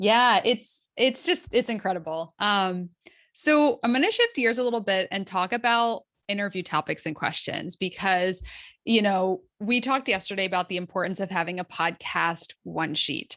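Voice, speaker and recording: The woman's tone is bright and sharp. Her pitch is medium, with ordinary pitch variation. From US East Coast. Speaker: podcast booking agency owner. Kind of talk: online masterclass presentation. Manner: fast.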